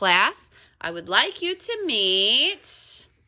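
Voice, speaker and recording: A woman uses a put-on character voice. It sits at a medium pitch. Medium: read story. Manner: gushing, brisk.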